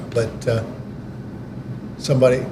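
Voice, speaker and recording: A man speaks with monotone, flat intonation. Audible room echo and noticeable background noise fill the recording. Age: 70s.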